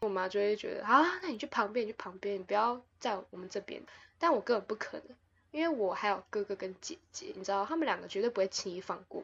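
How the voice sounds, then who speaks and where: Speaking at a very fast pace, a woman with a fairly high pitch uses lively intonation and big swings in loudness. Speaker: podcast host. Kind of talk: casual chat.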